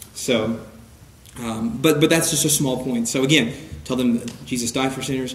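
Fairly even intonation and a moderate pace mark a man's speech against noticeable background noise. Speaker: church evangelism teacher. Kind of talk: lecture. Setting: church with audience. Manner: preaching style.

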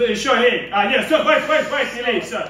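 A man talks fast at an extremely high pitch, his tone bright and sharp, with ordinary pitch variation and faint background noise.

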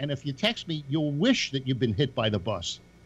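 A man with a fairly high pitch and ordinary pitch variation speaks against noticeable background noise. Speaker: former police officer. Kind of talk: casual panel discussion. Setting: video call. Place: home room. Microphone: video call.

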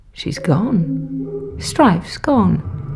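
Background music plays as a woman talks. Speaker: actress. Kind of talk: audio drama narration.

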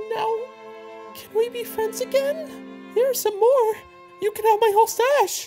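Faint music plays in the background. The speech moves at a moderate pace, broken by long, frequent pauses. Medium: fan dub. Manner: pleading, plaintive.

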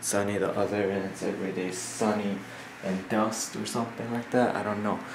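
Fairly low in pitch with fairly even intonation, a man's voice comes through light background noise and audible room echo. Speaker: vlogger. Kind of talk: casual vlog chat. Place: home room. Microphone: phone near.

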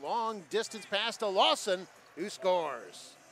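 Music plays in the background as a man speaks with a dry sound and no echo. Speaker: basketball commentator. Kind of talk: live sports commentary. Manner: excitable, rising on big plays. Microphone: headset.

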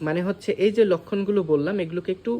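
The man speaks with a high pitch. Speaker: doctor. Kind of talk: tutorial.

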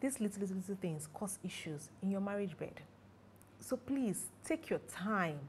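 Lively intonation, somewhat breathy, with light background noise. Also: woman, moderate pace. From Nigeria. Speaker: sexologist and marriage counselor. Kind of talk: educational talk to camera. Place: home room.

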